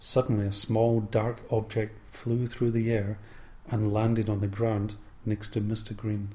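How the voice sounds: The text is read aloud. The reading voice sounds natural.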